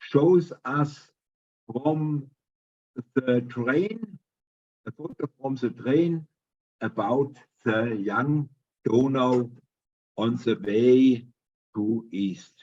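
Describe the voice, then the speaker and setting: Very slow, lively speech from a man with a German accent and a medium pitch, broken by long, frequent pauses. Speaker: presenter. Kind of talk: presentation. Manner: halting.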